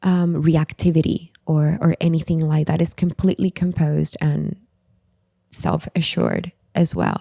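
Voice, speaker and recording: With a non-native accent, a woman speaks at a moderate pace in a very deep, low pitch, her dark, mellow tone flat and monotone, with very even loudness and a dry, close sound with no echo. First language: not English. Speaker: writer and former new age practitioner. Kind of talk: podcast interview.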